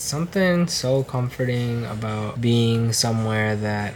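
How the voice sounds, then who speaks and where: The tone is relaxed and the pace fairly slow. Noticeable background noise can be heard. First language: Cantonese. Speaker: travel vlogger. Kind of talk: casual vlog narration. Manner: casual, relaxed.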